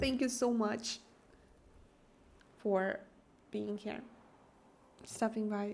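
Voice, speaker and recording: A woman with an Eastern European accent speaks very slowly in a fairly high, monotone, flat voice, leaving long, frequent pauses. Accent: Eastern European accent, noticeable. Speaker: game streamer. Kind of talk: live stream chat with viewers.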